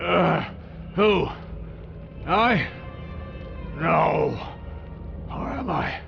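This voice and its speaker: A man performs a put-on character voice. Clear background noise runs underneath. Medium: machinima. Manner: wistful, resigned.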